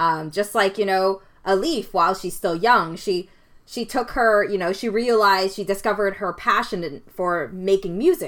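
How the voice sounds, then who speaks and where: The recording is very clean with a silent background. A woman with an ordinary speaking voice talks at a moderate pace, her pitch varying in an ordinary way. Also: medium pitch for a woman. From Canada. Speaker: podcast co-host. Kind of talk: casual film discussion.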